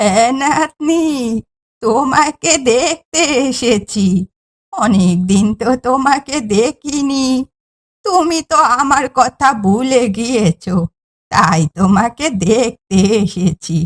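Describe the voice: A woman does a cartoonish character voice at a high pitch, with very wide pitch swings. She talks at a very slow pace, with very even loudness.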